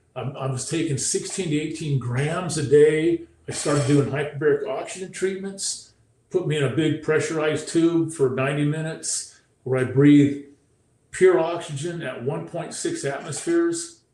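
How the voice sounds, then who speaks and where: There is audible room echo around a man whose voice sits at a fairly high pitch. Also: fairly even intonation, moderate pace. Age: 60s. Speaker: former pro football player, brain injury speaker. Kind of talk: interview testimony.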